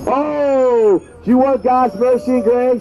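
A man with an extremely high pitch speaks at a very slow pace over light background noise. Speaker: street preacher. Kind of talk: open-air street sermon, fervent fire-and-brimstone evangelistic exhortation to passersby. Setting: outdoors on a city street near a bus stop. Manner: impassioned and repetitive, punctuating nearly every line with drawn-out 'Oh'; urgent, warning cadence hammering short imperatives. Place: street.

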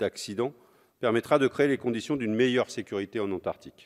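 Ordinary pitch variation from a man, quiet background behind him. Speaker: communist member of parliament. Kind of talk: parliamentary speech in the National Assembly, formal oratory delivered from the rostrum. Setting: National Assembly chamber. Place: hall. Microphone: podium.

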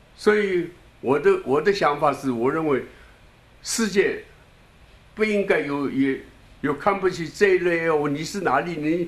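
Long, frequent pauses break up a man's fairly slow speech, delivered in a high voice with lively intonation. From Shanghai, China. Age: 80s+. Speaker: elderly political supporter; interviewee. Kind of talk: new year address. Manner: halting. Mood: earnest, encouraging. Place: home room. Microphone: handheld.

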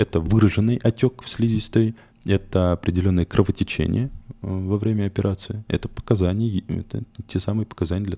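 A dark, mellow tone with fairly even intonation. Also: man, dry, close sound with no echo. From Turkmenistan, later Moscow. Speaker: urologist. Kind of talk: interview.

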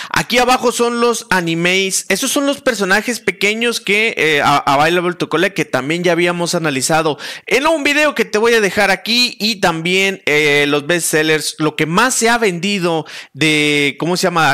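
The tone is bright and sharp, at a moderate pace. There are hardly any pauses. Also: man, lively intonation, quiet background. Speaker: content creator. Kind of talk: casual commentary while browsing a website. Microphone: headset.

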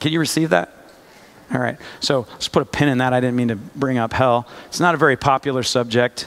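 A man talks rather quickly, his pitch shifting by an ordinary amount. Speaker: preacher. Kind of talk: sermon. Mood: light, humorous, earnest. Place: church.

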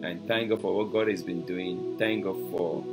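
Music is clearly heard behind a man who is talking. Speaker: preacher hosting a broadcast. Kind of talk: sermon. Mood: warm, enthusiastic. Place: home room.

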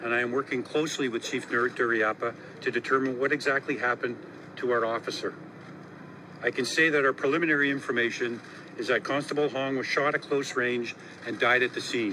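Fairly quick speech from a man, fairly even intonation, noticeable background noise. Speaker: police chief. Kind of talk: press conference statement. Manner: trembling voice. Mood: grieving, voice trembling. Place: street. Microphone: handheld.

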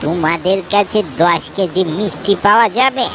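A woman performs a cartoonish character voice at medium pitch and a fairly slow pace. Clear background noise can be heard. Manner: grave, solemn.

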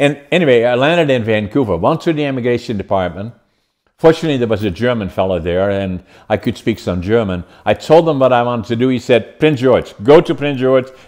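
A man of medium pitch speaks very fast with a Dutch accent and lively intonation against a quiet background. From Netherlands. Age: 80s+. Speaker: podcast host and businessman; podcast host. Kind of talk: podcast interview. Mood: cheerful, animated storytelling. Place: home room.

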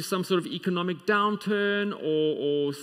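His voice is pitched high. Behind the man, the background stays quiet. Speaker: preacher. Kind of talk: sermon. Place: church.

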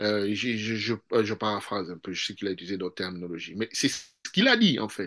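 Against a quiet background, a man talks at a very fast pace with fairly even intonation. His fairly low voice has a bright, sharp tone. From DR Congo. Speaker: political analyst. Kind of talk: political interview. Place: home room. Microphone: video call.

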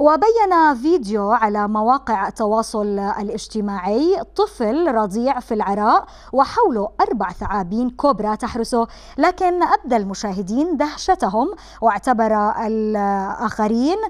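This woman's fairly high voice moves with lively intonation. She speaks at a very slow pace. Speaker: TV presenter. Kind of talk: interview; news reading.

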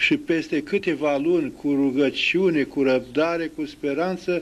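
At a very slow pace, a man speaks in a high pitch. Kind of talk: interview answer. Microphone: handheld.

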